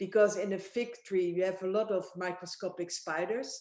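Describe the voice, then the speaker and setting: This woman speaks with a Dutch accent at a moderate pace. Her tone is dark and mellow, with a medium pitch. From Netherlands. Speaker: winemaker. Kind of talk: casual chat.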